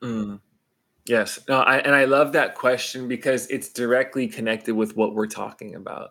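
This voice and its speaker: On a very clean recording with a silent background, a man talks at a moderate pace in a bright, sharp tone with fairly even intonation. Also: medium pitch for a man. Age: 30s. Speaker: pastor and author. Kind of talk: interview.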